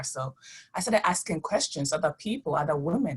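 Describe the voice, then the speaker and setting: A woman's very deep, low, somewhat breathy voice at a fairly quick pace. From immigrant, country not named. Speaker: author. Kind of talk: virtual panel talk. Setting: video call.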